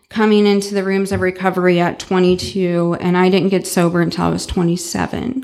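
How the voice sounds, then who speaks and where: The speaker has an American accent and talks at a moderate pace with monotone, flat intonation. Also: woman. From US Midwest, St. Louis, Missouri. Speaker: recovering alcoholic speaker. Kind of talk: recovery talk to a live audience. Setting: event with live audience.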